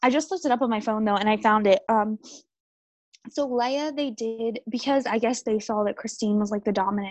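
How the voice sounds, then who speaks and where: A woman with a plain, everyday voice talks at a fairly quick pace and a fairly high pitch with ordinary pitch variation. The sound is dry and close, with no echo. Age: 20s. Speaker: true crime podcast co-host. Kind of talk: casual chat.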